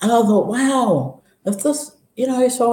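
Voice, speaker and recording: A woman's voice with audible room echo. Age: 60s. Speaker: vlogger sharing health story. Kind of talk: personal testimony. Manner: animated, halting with many restarts.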